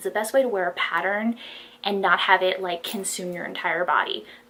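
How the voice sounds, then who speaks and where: Noticeable background noise accompanies a woman speaking at a moderate pace. Her pitch is medium and her intonation fairly even. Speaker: fashion haul vlogger. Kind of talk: casual haul video monologue. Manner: shaky voice. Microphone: no external microphone, built-in mic.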